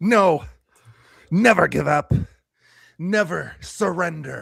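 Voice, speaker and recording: A man puts on a raspy character voice with a high pitch and a dramatic tone. He delivers it at a very slow pace. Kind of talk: live script read. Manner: dramatic, overacted.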